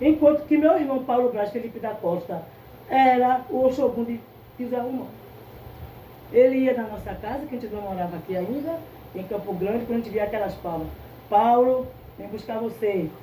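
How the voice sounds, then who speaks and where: The speaker leaves long, frequent pauses, uses ordinary pitch variation and shifts loudness in big swings, with audible room echo around the voice. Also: woman, fairly high pitch for a woman, moderate pace. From Brazil, Recife, Pernambuco. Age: 70s. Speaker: candomblé priestess. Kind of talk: interview. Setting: at the temple.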